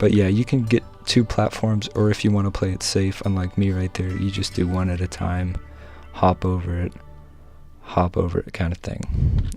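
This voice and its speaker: Music plays in the background as a man speaks quietly. His pitch is very deep and low, and his pace is moderate. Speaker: gaming video creator. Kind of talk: gameplay tutorial commentary.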